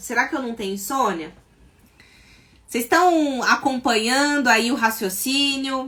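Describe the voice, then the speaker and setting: A woman with an unremarkable speaking voice talks at a fairly slow pace with ordinary pitch variation. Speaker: psychologist and sleep therapist. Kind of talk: live stream talk. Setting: live stream.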